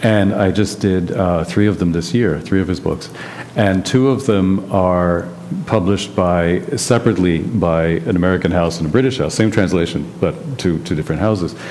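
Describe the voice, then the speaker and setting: A man with a very deep, low pitch talks at a moderate pace, with ordinary pitch variation, very even loudness and noticeable background noise. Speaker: translator and publisher. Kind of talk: panel discussion. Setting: stage with audience.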